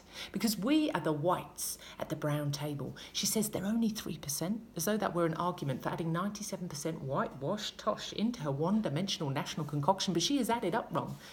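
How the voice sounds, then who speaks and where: This woman speaks with an Australian accent at a fairly low pitch and a fairly quick pace, barely pausing. Her intonation is lively and her tone animated. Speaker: spoken word poet. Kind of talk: spoken word poetry performance. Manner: rhythmic, emphatic, politically charged delivery; animated, pointed, sarcastic in places. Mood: passionate, indignant. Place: home room. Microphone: phone near.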